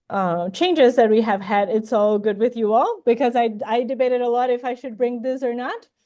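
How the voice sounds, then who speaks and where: A dark, mellow tone with a non-native accent, a fairly quick pace, hardly any pauses and ordinary pitch variation. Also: woman, high pitch for a woman. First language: not English. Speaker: plant ecologist and incoming professor. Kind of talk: academic job talk. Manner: hesitant with many fillers.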